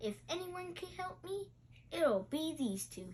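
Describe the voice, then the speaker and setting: A woman uses a put-on character voice, squeaky and extremely high, with very wide pitch swings at a fairly slow pace. Light background noise is present. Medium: read story. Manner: joking.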